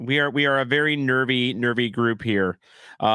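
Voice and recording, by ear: A natural voice reading aloud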